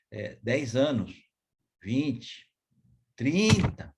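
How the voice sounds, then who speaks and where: A man's somewhat breathy voice makes very wide pitch swings. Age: 70s. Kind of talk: devotional talk. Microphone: too quiet for some listeners.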